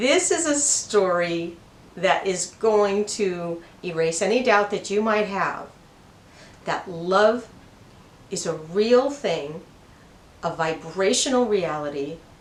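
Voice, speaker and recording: Audible room echo carries a woman's medium-pitched voice, with lively intonation, a very slow pace and long, frequent pauses. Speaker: spiritual channel host. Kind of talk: personal storytelling. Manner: slow, broken-up speech; slightly halting from brain injury.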